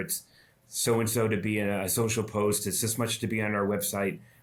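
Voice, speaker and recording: A man with an American accent speaks at a moderate pace in a fairly low pitch, his intonation fairly even, with audible room echo around him. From Massachusetts. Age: 60s. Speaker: chamber of commerce president, former mayor. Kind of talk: podcast interview. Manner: halting, many fillers.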